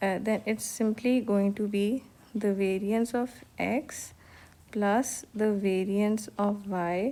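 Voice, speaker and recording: A woman's dark, mellow voice with a Pakistani accent, medium in pitch, very slow, very even in loudness, and fairly even in intonation. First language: Urdu. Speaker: economics teacher. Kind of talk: lecture. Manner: hesitant, many fillers.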